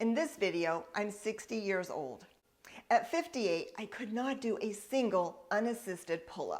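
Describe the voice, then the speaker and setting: At a moderate pace, a woman with a plain, everyday voice speaks at a medium pitch with lively intonation. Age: 60s. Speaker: fitness coach. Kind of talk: tutorial.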